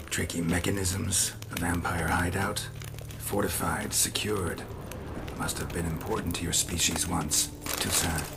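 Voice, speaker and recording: Over loud background noise, a man does a cartoonish character voice at a very deep, low pitch and a moderate pace. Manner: terse, clipped, low-key.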